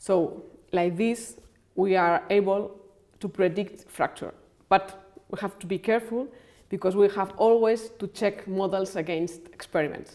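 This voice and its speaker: A woman speaks at a fairly slow pace in a dark, mellow tone with fairly even intonation against a quiet background. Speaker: engineering researcher. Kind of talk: documentary interview. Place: office. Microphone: lapel.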